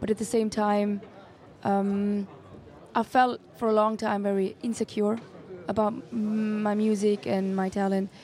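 Very slowly and with long, frequent pauses, a woman speaks in a medium pitch, her tone dark and mellow and her intonation monotone and flat. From Switzerland, Tamil Sri Lankan parents. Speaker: singer. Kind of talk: interview. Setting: festival radio broadcast.

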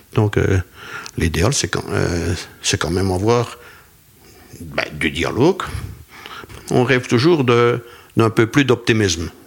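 The speech moves at a very slow pace, with long, frequent pauses and lively intonation. Noticeable background noise sits behind it. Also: man, medium pitch for a man. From Belgian Ardennes. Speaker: retired cattle farmer. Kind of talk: interview.

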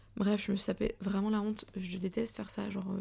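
A woman is speaking. Her pace is moderate. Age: 20s. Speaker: podcaster, journalism student. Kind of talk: personal monologue podcast. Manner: casual, many fillers.

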